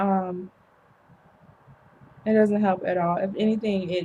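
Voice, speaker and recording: A woman talks fairly slowly in a somewhat breathy, dark and mellow voice of medium pitch. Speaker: vlogger. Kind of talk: personal vlog monologue. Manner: hesitant, many ums.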